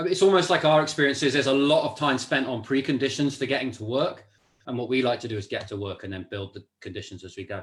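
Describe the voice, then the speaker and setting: A man with a British accent talks at a very fast pace and medium pitch, somewhat breathy, with lively intonation and big swings in loudness. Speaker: facilitator, course leader. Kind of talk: casual chat. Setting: live stream.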